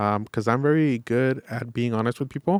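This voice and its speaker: A man with an American accent talks at a fairly quick pace in an ordinary speaking voice, at medium pitch with ordinary pitch variation. The recording is very clean, with a silent background and a dry, close sound with no echo. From Los Angeles, East Hollywood. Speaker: real estate and mortgage salesman. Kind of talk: podcast interview.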